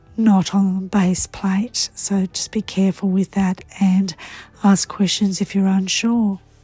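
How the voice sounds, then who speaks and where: A woman at medium pitch with monotone, flat intonation, dry close sound with no echo, and music in the background. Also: fairly slow pace. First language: Croatian. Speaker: papercraft demonstrator. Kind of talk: tutorial.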